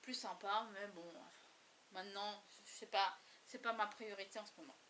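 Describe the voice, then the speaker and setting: Bright, sharp tone at a moderate pace with fairly even intonation. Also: woman. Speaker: crafting YouTuber. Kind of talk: casual show-and-tell vlog. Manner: halting, many hesitations.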